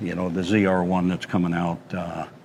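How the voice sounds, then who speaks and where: A man speaks with an American accent and a very deep, low pitch. Noticeable background noise is present. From Wyoming, US. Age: 70s. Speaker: car collector. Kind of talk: casual chat.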